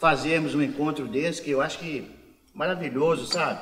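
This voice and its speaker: Through audible room echo and noticeable background noise, a man talks fairly quickly. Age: 60s. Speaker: taxi driver. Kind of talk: casual group conversation, reminiscing.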